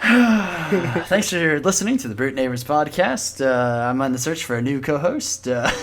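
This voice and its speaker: A man speaks at a fairly slow pace with a fairly high pitch. Noticeable background noise and audible room echo fill the recording. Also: hardly any pauses. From Alabama, US South. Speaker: podcast host. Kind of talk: casual chat.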